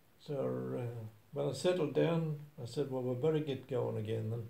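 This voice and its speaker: The man's voice is somewhat breathy, with a dark, mellow tone. He speaks very slowly with ordinary pitch variation. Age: 80s+. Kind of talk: personal testimony storytelling. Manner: hesitant, halting.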